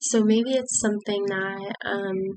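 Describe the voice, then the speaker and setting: A woman's medium-pitched voice at a very slow pace, monotone and flat in intonation. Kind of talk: devotional talk. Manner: hesitant, many fillers.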